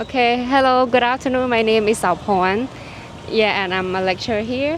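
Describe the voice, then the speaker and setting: Over noticeable background noise, a woman with a Cambodian accent speaks with ordinary pitch variation. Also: fairly high pitch for a woman, moderate pace. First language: Khmer. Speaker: university lecturer. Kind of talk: casual interview. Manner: hesitant, searching for words.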